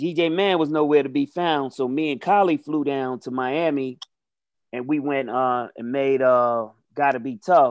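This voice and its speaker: A plain, everyday voice from a man with an American accent, fairly high in pitch, fairly slow, with ordinary pitch variation against a quiet background. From New York City, the Bronx. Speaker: rapper. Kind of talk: casual chat.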